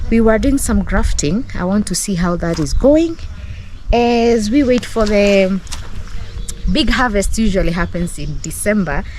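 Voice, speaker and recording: A woman of medium pitch at a fairly slow pace with lively intonation, amid noticeable background noise and audible room echo. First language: Kenyan local language. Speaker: vlogger. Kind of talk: casual vlog narration. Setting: outdoors on a farm. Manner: animated.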